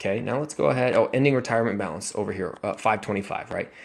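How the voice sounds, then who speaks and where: Using an ordinary speaking voice, a man at medium pitch talks with ordinary pitch variation. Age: 20s. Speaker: personal finance vlogger. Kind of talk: casual screen-share commentary.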